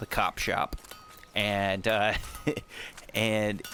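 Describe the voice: A man's fairly low pitch with a clear, smooth, fairly bright tone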